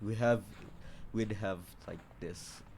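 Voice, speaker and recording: A man with a non-native accent speaks at a very slow pace amid audible room echo. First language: not English. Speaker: gaming video creator. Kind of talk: reading aloud a visual novel with commentary. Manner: halting, many restarts; apologetic.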